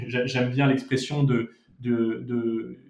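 In a monotone, flat intonation, a man speaks at a medium pitch. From Monaco and Paris. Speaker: restaurant founder. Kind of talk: interview. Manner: halting, frequent repetitions.

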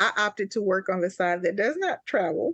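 This speaker has a Mississippi accent and keeps a moderate pace. The background is quiet. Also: woman. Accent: Southern US (Mississippi). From US South, Jackson, Mississippi. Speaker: army veteran and travel agent. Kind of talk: interview.

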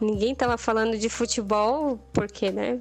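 A woman's voice, with ordinary pitch variation, proceeds at a moderate pace. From interior of Bahia, Brazil (born northern Minas Gerais). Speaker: illustrator. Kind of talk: casual interview chat. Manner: animated.

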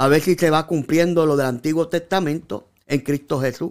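This man has a high pitch. It varies in an ordinary way. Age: 50s. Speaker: pastor. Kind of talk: sermon. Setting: social media livestream.

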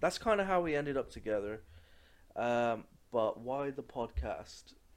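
Very wide pitch swings at a fairly slow pace. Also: man. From England. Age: 20s. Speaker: podcast co-host. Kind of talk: casual chat. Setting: at home.

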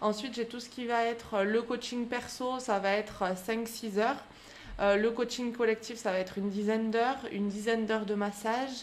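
Her intonation is monotone and flat. The woman speaks at a moderate pace with a fairly high pitch. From France, Aubrac plateau (Aveyron/Lozère area). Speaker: fitness coach and podcast host. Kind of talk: interview. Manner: hesitant.

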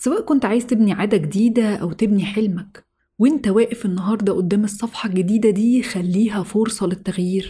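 With a Cairo accent, the speaker talks at a fairly quick pace with hardly any pauses, in a calm, warm tone that is dark and mellow and somewhat breathy. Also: woman, medium pitch for a woman, ordinary pitch variation. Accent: Egyptian Arabic (Cairene). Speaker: podcast host. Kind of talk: motivational monologue.

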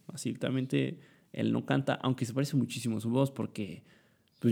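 A man speaking at a fairly quick pace. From Mexico, Puebla. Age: young. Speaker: student podcaster. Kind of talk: casual monologue. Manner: halting, many fillers.

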